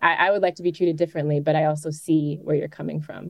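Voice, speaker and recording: With an American accent, a woman speaks at a very deep, low pitch. Her intonation stays fairly even. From Chicago, US Midwest. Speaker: singer-songwriter and poet. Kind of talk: interview.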